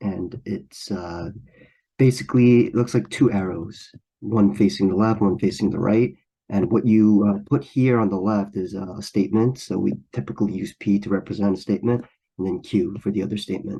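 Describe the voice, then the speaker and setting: His voice is dark and mellow, fairly low for a man, with ordinary pitch variation. He keeps a moderate pace. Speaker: math tutor. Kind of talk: tutorial. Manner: hesitant, many fillers.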